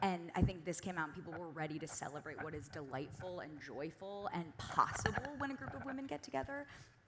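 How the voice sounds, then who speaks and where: A woman talking at a very fast pace with hardly any pauses, very wide pitch swings and big swings in loudness, over noticeable background noise. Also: fairly low pitch for a woman. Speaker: screenwriter. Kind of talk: panel discussion.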